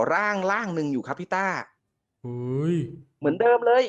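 A loud man with a high pitch over a quiet background. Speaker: caller telling a ghost story. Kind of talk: storytelling. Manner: loud and clear.

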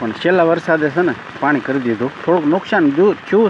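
Noticeable background noise sits beneath speech that shows ordinary pitch variation. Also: man. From Saurashtra, Gujarat (Bhavnagar district). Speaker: village vlogger. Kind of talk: vlog walk-through. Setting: outdoors in rain. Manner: casual, conversational.

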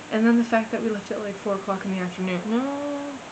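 Noticeable background noise behind speech at a fairly quick pace. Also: woman. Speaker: vlogger. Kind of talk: casual vlog chat. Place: home room. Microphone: webcam.

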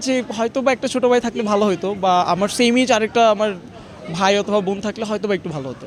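Noticeable background noise runs under the recording. A man speaks at a high pitch with ordinary pitch variation. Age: 20s. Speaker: shopper interviewed in street vox pop. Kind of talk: street interview.

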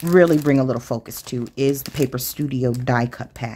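The woman speaks at a moderate pace with ordinary pitch variation. Light background noise is present. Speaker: craft channel host. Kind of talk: casual haul show-and-tell.

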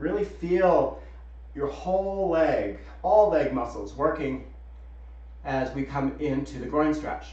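A man speaks at a very slow pace with audible room echo. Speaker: yoga instructor. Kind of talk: guided yoga class with calm cueing. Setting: live Zoom video call, students muted. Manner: soothing, calm, instructive; clear, rhythmic, directive. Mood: calm, guiding. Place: home room. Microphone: video call.

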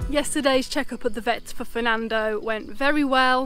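A woman's high voice in a dry recording with no echo, music playing in the background. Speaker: vlogger. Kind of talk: casual vlog chat. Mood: cheerful, relieved. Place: open country. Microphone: phone near.

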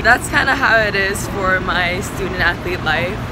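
A woman speaks at a fairly slow pace against loud background noise. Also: dry sound with no echo. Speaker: student athlete vlogger. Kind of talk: casual vlog chat. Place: street. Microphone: phone near.

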